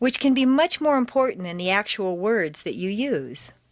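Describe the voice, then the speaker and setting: In a General American accent, a woman talks at a fairly slow pace. Her pitch swings very widely. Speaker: accent coach. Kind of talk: audio course narration. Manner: conversational.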